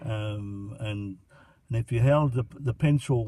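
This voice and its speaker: A man's dark, mellow, somewhat breathy voice with an Australian accent and fairly even intonation. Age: 70s. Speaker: grandfather interviewed by grandson. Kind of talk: casual interview. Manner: halting, many fillers.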